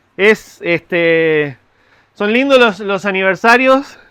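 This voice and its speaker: Very slowly, a man talks in a high pitch with lively intonation. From Argentina, Mendoza. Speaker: pastor. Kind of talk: sermon. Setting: church.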